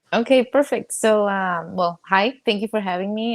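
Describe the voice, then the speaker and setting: A woman speaks with a Spanish accent at a medium pitch and a moderate pace. Her intonation is fairly even, and the recording is very clean with a silent background. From Mexico. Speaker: network marketer, coaching client. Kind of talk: coaching session conversation.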